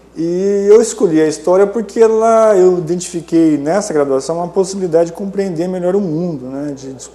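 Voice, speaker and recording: A man talks at a moderate pace in a high pitch with ordinary pitch variation. Noticeable background noise can be heard. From Maringá, Paraná, southern Brazil. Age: 50s. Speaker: historian and professor. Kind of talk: interview. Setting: studio.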